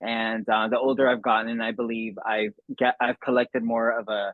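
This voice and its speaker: With an American accent, a man delivers his words in monotone, flat intonation at a medium pitch. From Los Angeles, California. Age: 30s. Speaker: substance abuse counselor and spokesmodel. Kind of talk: interview. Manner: halting, many fillers.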